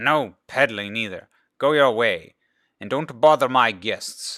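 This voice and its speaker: Using a gruff, put-on character voice, a man speaks at medium pitch and a fairly slow pace, with ordinary pitch variation and big swings in loudness on a very clean recording with a silent background. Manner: stern, dismissive.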